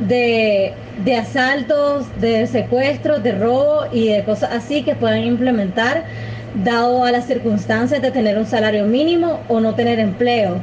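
Over noticeable background noise and audible room echo, a woman speaks fairly slowly at a fairly high pitch, with ordinary pitch variation and very even loudness. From Nicaragua. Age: 20s. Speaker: podcast co-host helper. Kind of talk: casual interview. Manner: halting, repeats words.

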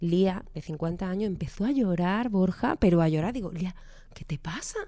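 A woman with an Andalusian accent speaks at a medium pitch in a dark, mellow tone. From Andalusia, Málaga. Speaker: economist and financial coach. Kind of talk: interview.

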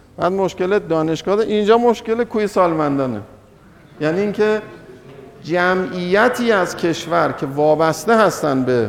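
Noticeable background noise sits behind a man speaking at a moderate pace with high pitch. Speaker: economics lecturer. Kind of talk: lecture. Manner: halting, many pauses.

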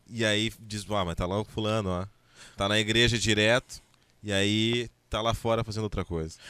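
At a moderate pace, a man speaks in a fairly low voice with a bright, sharp tone and monotone, flat intonation. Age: 30s. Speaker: radio host. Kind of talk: casual chat. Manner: halting.

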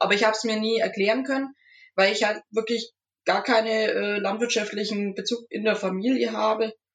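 Fairly quick and flat in intonation, a woman talks in a fairly high, monotone voice. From Franconia, Nuremberg. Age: 20s. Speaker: agriculture student. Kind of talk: casual chat.

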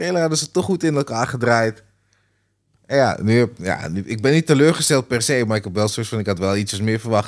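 A man with a plain, everyday voice, medium in pitch, with lively intonation at a fairly quick pace on a very clean recording with a silent background. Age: 30s. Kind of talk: casual chat.

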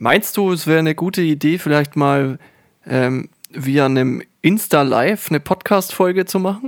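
A man speaks at a moderate pace. His pitch sits fairly high for a man. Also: ordinary pitch variation, dry, close sound with no echo. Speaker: podcast co-host. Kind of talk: casual chat.

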